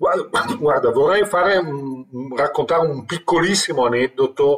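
A man speaks at a fairly slow pace. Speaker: turnaround manager for companies in crisis. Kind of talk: expert interview.

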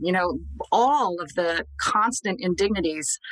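Noticeable background noise is heard as a woman talks in a fairly low voice. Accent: American. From Scranton, Pennsylvania. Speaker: magazine editor and writer. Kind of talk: interview. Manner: repeats words when starting a thought.

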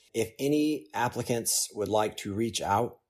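On a very clean recording with a silent background, a man with an American accent speaks at a moderate pace in a dark, mellow tone. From Oklahoma City, Oklahoma. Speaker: surgical resident. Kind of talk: interview.

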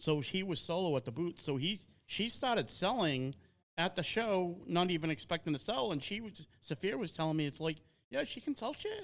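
In a Boston accent, a man speaks at a high pitch and a fairly quick pace with lively intonation.

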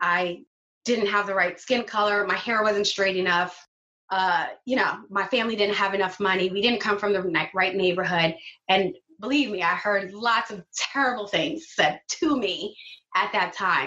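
With a New York accent, a woman talks using ordinary pitch variation. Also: medium pitch for a woman, moderate pace. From Brooklyn, New York (Flatbush). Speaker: business owner and designer. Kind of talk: casual interview.

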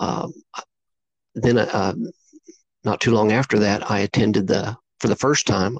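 In an American accent, a man speaks at a fairly slow pace and fairly low pitch, with ordinary pitch variation, very even loudness, and long, frequent pauses. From southeastern Oklahoma. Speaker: Bigfoot researcher. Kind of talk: interview. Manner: hesitant, many fillers.

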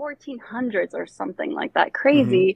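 A woman talks with an American accent. Her intonation is lively, with vocal fry. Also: dry, close sound with no echo. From Bosnia, raised partly in Florida. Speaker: artist. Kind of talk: casual interview chat. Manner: animated.

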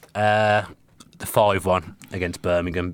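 The recording is very clean, with a silent background. A man talks in a monotone, flat intonation. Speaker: football podcast host. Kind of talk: casual banter about football. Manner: chatty, joking, rambling.

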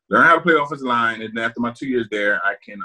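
A man's medium-pitched voice with a bright, sharp tone and an American accent, very fast in pace, with fairly even intonation. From South Jersey, US. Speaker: retired NFL offensive lineman. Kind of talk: interview.

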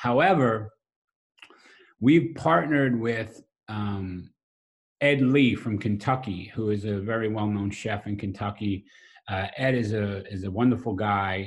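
Against a quiet background, a man with a Brooklyn accent speaks at a fairly slow pace in a fairly low, somewhat breathy voice. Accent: New York (Brooklyn). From US Northeast, South Brooklyn, New York. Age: 40s. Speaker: restaurant owner and pit master. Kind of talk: casual interview conversation.

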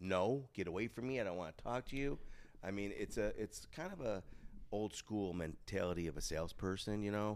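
This unremarkable speaking voice keeps a fairly quick pace and shows ordinary pitch variation. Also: man, fairly low pitch for a man. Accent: American. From Chicago. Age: 30s. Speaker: podcast guest, local personality. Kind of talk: casual chat. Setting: studio in a Las Vegas hotel.

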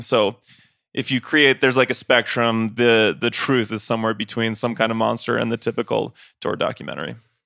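A plain, everyday voice from a man at medium pitch, fairly even intonation, on a very clean recording with a silent background. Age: 30s. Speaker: podcast host and touring musician. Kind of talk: casual chat. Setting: on tour in Mexico City.

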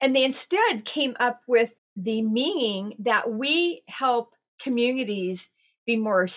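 Slow-paced but lively in intonation, a woman with an unremarkable speaking voice talks at a fairly high pitch. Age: 60s. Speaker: resilience and well-being advisor. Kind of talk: interview.

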